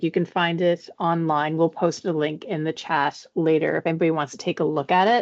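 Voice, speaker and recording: At a fairly quick pace, a woman speaks with a fairly low pitch, the sound dry and close with no echo. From Canada, Prince Edward Island. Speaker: arts program development officer. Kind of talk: information session presentation. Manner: fast; animated.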